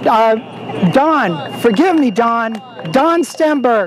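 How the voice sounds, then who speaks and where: The speaker has an energetic tone and an American accent. Noticeable background noise runs underneath. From Texas. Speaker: political advocacy speaker. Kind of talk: speech at outdoor rally. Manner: energetic, rousing.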